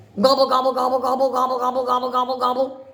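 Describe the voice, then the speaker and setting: A woman speaks very fast in a put-on character voice, pitched high. Her intonation stays flat and monotone throughout. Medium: read story. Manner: playful, teasing.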